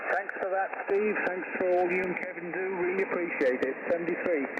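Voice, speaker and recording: Audible room echo and noticeable background noise surround a man with a high pitch and fairly even intonation. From Wales. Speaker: amateur radio operator. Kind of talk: radio net check-in. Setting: ham radio transmission.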